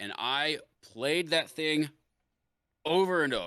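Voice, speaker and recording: This man speaks with a fairly high pitch, a bright, sharp tone and audible vocal fry. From US Midwest. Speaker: Twitch streamer and musician. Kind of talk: casual chat.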